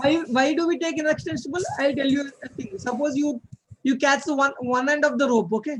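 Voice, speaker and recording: This man's voice sits extremely high in pitch. He talks at a fairly quick pace with ordinary pitch variation. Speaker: physics tutor. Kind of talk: one-on-one lecture. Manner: fast; halting, many fillers.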